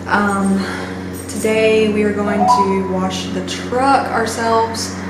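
Loud background noise and audible room echo fill the recording of a woman speaking. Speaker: lifestyle vlogger. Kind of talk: casual vlog talk to camera. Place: home room. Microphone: phone near.

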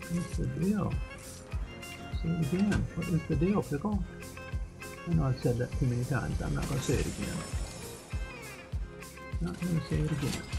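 A man talks at a fairly quick pace with long, frequent pauses, and noticeable background noise sits behind him. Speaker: gamer. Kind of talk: gameplay commentary. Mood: self-critical, mildly frustrated.

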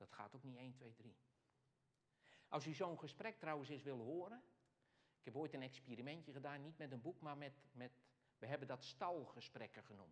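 At a moderate pace, a man with a fairly high voice speaks with long, frequent pauses. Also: ordinary pitch variation. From Netherlands, Alblasserwaard (South Holland); South Holland, Netherlands. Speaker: speaker. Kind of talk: Q&A after a lecture. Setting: hall with live audience and microphone. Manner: halting, with many fillers. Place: church.

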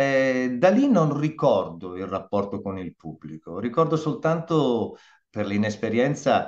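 A man speaks at a fairly slow pace against a quiet background. He has an ordinary speaking voice. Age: 60s. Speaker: voice actor and dubbing director. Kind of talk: interview answers, casual conversation. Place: home room.

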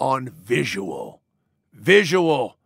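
A gruff, put-on character voice comes through with a dry, close sound and no echo. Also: man. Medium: audio drama. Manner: gruff, boastful, profane.

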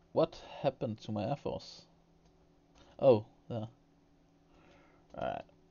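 In a Danish accent, a man talks at a fairly slow pace, pausing long and often. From Denmark. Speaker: gaming streamer. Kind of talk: gameplay commentary with live chat. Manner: hesitant, repeats words.

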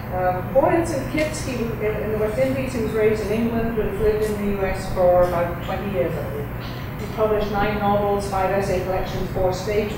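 A woman is speaking in a room with strong echo. Background noise is noticeable. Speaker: professor. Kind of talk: speech introduction. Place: hall.

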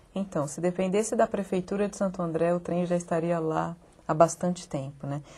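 A woman with a fairly low pitch speaks at a moderate pace, somewhat breathy, with a dark, mellow tone and fairly even intonation. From interior of São Paulo state, Brazil. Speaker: architect and local government official. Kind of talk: TV interview. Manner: halting, many fillers. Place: studio. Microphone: lapel.

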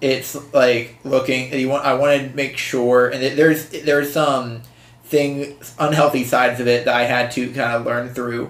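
Audible room echo carries a man's medium-pitched voice in an American accent. He speaks at a fairly slow pace with monotone, flat intonation. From western Pennsylvania. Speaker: podcast co-host being interviewed. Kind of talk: casual interview. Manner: halting, many fillers and restarts.

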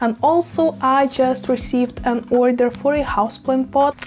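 A woman speaks at a high pitch and a moderate pace, with faint background noise. Her intonation is fairly even and her tone slightly mellow.

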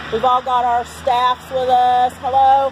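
A woman speaks loudly at a moderate pace, her pitch high. The sound is dry with no echo, though there is noticeable background noise. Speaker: street prayer team leader. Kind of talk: fervent prayer and proclamation. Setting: outdoors at courthouse. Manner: loud, forceful, declaring spiritual warfare. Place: street. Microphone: phone near.

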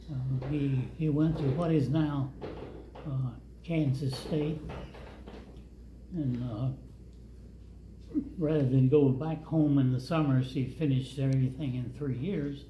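A man's fairly slow, fairly even speech with long, frequent pauses, audible room echo and light background noise. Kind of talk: storytelling. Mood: calm, reflective. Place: hall.

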